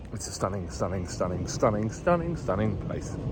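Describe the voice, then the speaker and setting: A man talks at a very fast pace, his pitch swinging very widely. Noticeable background noise runs underneath. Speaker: photography vlogger. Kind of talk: vlog to camera. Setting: outdoors in a garden.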